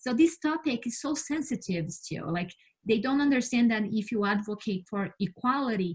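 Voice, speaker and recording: A woman speaks with a Brazilian Portuguese accent at a moderate pace. Her voice is somewhat breathy, with ordinary pitch variation. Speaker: space scientist. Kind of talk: interview. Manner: halting, with many fillers and repeats.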